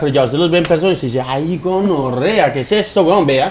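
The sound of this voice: A man talks at a fairly quick pace, his pitch fairly high and his tone slightly mellow. His pitch varies an ordinary amount, and faint background noise can be heard.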